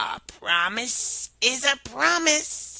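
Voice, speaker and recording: In a put-on character voice, a woman sounds raspy and high-pitched. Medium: read story. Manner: polite, insistent.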